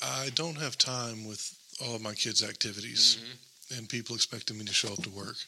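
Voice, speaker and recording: A soft-spoken man with a bright, sharp tone, fairly even intonation and big swings in loudness. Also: medium pitch for a man, fairly quick pace. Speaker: guest. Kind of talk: casual chat.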